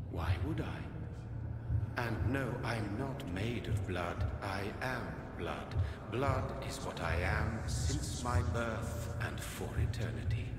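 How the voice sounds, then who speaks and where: A man's put-on character voice at a very slow pace, with a clear echo and loud background noise. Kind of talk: mythic prophecy. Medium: game stream. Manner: solemn, cryptic, measured.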